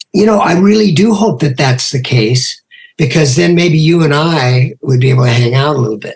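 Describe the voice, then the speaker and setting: The speaker has an American accent and a somewhat breathy voice. Delivery comes at a moderate pace with lively intonation. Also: man, fairly high pitch for a man. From US West Coast. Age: 70s. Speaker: podcast host and rock musician. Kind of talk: casual interview chat.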